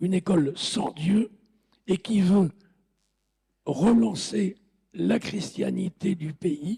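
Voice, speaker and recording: Speaking at a very slow pace, a man with a high pitch and a dark, mellow tone is heard in a dry, close sound with no echo. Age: old. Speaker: political science scholar, historian of youth policy. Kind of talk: talk in lecture hall. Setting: lecture hall with audience, PA system.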